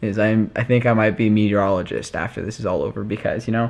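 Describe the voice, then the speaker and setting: A fairly quick pace from a male speaker. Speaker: family vlogger. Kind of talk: casual vlog chat. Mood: relaxed, self-mocking. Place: home room. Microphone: phone near.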